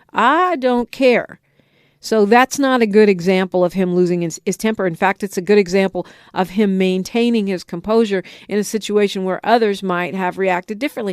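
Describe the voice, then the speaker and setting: With an American accent, a woman speaks in an ordinary speaking voice at medium pitch with ordinary pitch variation. She talks at a fairly quick pace, and the sound is dry and close with no echo. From United States, California. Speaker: radio talk show host. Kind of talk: talk radio call-in show commentary. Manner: opinionated, conversational.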